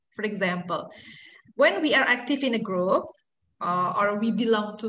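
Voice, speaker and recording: This woman's voice sits fairly high. Audible room echo surrounds it. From Indonesia. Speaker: university lecturer. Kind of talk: lecture. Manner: halting.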